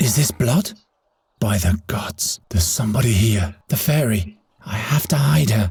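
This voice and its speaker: A put-on character voice with a low pitch moves at a moderate pace. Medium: video game.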